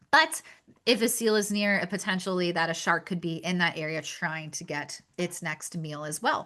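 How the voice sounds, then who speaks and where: A woman's bright, sharp voice with a Pennsylvania accent, fairly low in pitch, at a moderate pace with ordinary pitch variation. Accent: Pennsylvania accent, noticeable. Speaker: shark conservation outreach speaker. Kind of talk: webinar presentation. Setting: video webinar.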